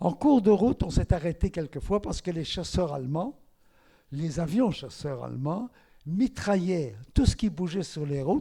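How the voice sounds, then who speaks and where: A high-pitched man with lively intonation and a dark, mellow tone, on a very clean recording with a silent background. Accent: Flemish. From Belgium, Antwerp (Flemish-speaking). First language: Flemish (speaking French). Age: 90s. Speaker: Holocaust survivor. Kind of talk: testimony.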